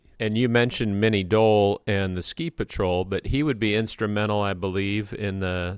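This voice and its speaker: An unremarkable speaking voice with ordinary pitch variation moves at a fairly quick pace. The background is quiet. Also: man. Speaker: radio host. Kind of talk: interview.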